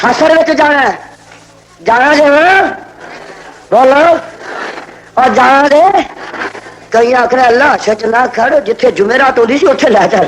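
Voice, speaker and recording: The speaker's tone is passionate, with lively intonation. Noticeable background noise is present. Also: man. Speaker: Islamic scholar giving a sermon. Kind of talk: religious sermon to a live crowd, Punjabi-Urdu. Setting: outdoor or hall public gathering, 1980 archival recording. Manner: passionate, emphatic, commanding.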